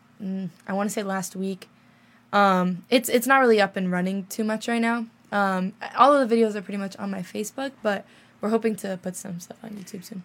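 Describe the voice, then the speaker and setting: A woman of medium pitch with an unremarkable speaking voice, fairly quick pace, fairly even intonation and big swings in loudness, on a very clean recording with a silent background. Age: young. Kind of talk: casual chat. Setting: studio.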